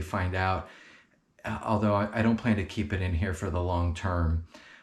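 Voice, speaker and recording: A soft-spoken, somewhat breathy man with a very deep, low pitch, fairly even intonation and a moderate pace. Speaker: car enthusiast youtuber. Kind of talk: product overview and installation tutorial. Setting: indoors in a guest bedroom. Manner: soft-spoken, talking quietly; hesitant, many fillers and repeats.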